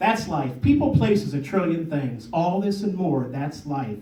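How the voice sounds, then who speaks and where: A man's fairly high voice, fairly slow with lively intonation, against noticeable background noise. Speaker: poet. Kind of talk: poetry reading. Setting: live audience event.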